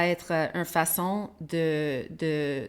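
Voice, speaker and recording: In a very clean recording with a silent background, a woman with an English accent speaks at a fairly low pitch with ordinary pitch variation. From Quebec. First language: English (speaking French). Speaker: podcast host. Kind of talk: interview. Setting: live stream. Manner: halting, many repetitions.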